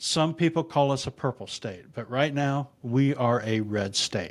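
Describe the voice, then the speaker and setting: An American-accented man speaks at a moderate pace with a medium pitch. His intonation is lively, and the recording is very clean with a silent background. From US Midwest, northeast Indiana near Fort Wayne. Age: 60s. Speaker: political content creator, podcaster. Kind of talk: monologue, channel introduction.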